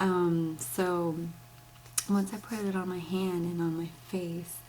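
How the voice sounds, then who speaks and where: A woman speaks at a very slow pace in a fairly low pitch, her intonation monotone and flat. Audible room echo surrounds her voice. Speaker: beauty vlogger. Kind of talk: product demo and review. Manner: speaking low; casual, many fillers.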